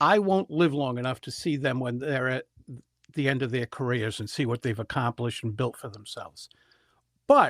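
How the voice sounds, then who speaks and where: A man with a normal speaking voice and medium pitch shows ordinary pitch variation and big swings in loudness, captured dry and close with no echo in a very clean recording with a silent background. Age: 60s. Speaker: public speaker and speaking coach. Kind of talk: podcast interview answer, conversational storytelling.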